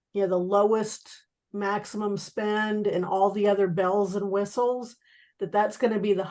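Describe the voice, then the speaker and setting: Against a quiet background, a woman speaks at a fairly slow pace with medium pitch. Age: 60s. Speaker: network marketing team member. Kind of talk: team video call discussion. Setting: video call.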